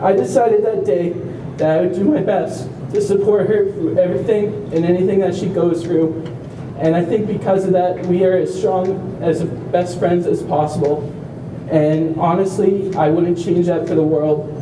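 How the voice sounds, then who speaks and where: A man talks at a high pitch and moderate pace with ordinary pitch variation. Audible room echo and noticeable background noise are present. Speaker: family member of a self-injurer, speaker at awareness walk. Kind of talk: prepared speech.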